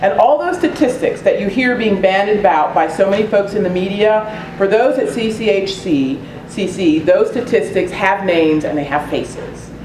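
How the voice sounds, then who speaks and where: Over noticeable background noise and room echo, a woman with a medium pitch speaks at a moderate pace with lively intonation. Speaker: community organization board chair, meeting host. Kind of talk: public meeting presentation. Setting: community meeting room with audience.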